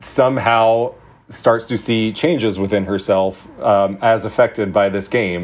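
This is a man with a fairly low-pitched voice. He speaks at a fairly slow pace. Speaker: film festival programmer. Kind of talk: casual chat. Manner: animated.

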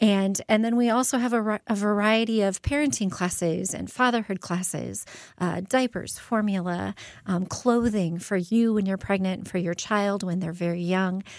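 With an American accent, a woman speaks in an ordinary speaking voice at medium pitch with ordinary pitch variation, in a very clean recording with a silent background. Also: moderate pace. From Phoenix, Arizona. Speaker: pregnancy center executive director. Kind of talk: radio interview.

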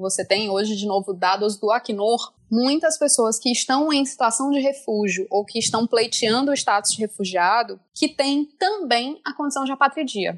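Her pitch is high for a woman, with lively intonation. This woman talks at a moderate pace. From France, to Brazilian parents. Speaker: international law expert. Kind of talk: expert explanation. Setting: remote call.

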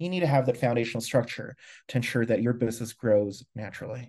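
A man's dark, mellow voice at a very fast pace over a quiet background. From Philippines. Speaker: customer service executive. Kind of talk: interview.

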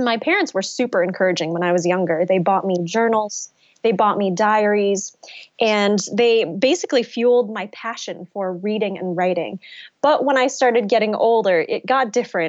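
A woman speaks in a normal speaking voice at medium pitch. Her pitch variation is ordinary and her pace moderate. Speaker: novelist. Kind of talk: interview.

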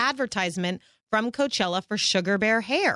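A woman's fairly high, plain, everyday voice at a fairly quick pace, ordinary pitch variation, dry and close with no echo, against a quiet background. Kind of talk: casual chat.

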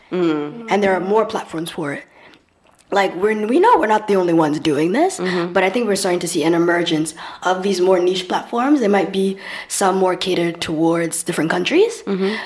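Against noticeable background noise, a woman speaks at a fairly quick pace in a medium pitch with ordinary pitch variation. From Grenada. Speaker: magazine co-founder. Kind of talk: casual interview chat. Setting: studio.

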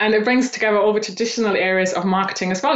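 Someone with a German accent talks at a very fast pace with ordinary pitch variation, amid noticeable background noise and audible room echo. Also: woman. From Eastern Germany. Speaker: personal branding coach. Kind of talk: interview.

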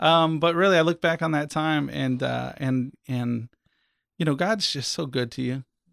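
This man has an American accent and a fairly high pitch with ordinary pitch variation. The recording is very clean, with a silent background. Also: moderate pace. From US South, Central Florida. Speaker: church member sharing testimony. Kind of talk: testimony. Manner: halting, many repeated words.

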